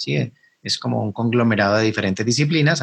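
A man speaks with a Cali accent. His pitch sits at a medium level. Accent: Colombian Spanish (Cali, caleño). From Colombia, Cali. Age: 40s. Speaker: math teacher and YouTuber. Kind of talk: interview conversation.

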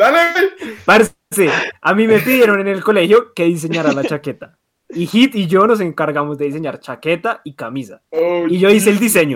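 A man's high-pitched voice at a moderate pace, with lively intonation. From Colombia (coastal and Medellín family). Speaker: podcast host. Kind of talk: casual chat.

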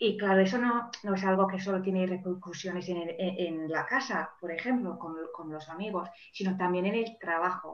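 A woman speaks at a moderate pace and medium pitch, her intonation fairly even. Noticeable background noise and audible room echo surround her voice. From England, Manchester. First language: English (speaking Spanish). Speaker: life and career coach. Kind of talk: interview. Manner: halting, many repeated words.

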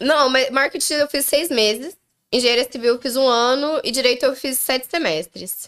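The recording is very clean, with a silent background. A woman speaks at a moderate pace with high pitch and ordinary pitch variation. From southern Brazil, Londrina (Paraná). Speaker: podcast guest. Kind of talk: casual chat. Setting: live stream.

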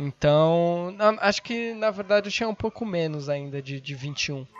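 Noticeable background noise sits behind a man with a fairly high pitch and ordinary pitch variation. He talks at a fairly slow pace. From Brazil, São Paulo. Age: 20s. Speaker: podcaster and meme page owner. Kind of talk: casual chat.

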